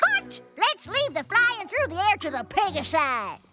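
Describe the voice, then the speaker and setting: An extremely high, cartoonish character voice swings very widely in pitch at a moderate pace. Loud music plays in the background. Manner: folksy, cranky.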